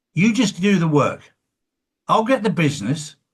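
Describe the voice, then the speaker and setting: A man speaks with an English accent. His intonation is lively and his pace fairly slow. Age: 60s. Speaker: interviewer, former builder. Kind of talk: casual interview chat.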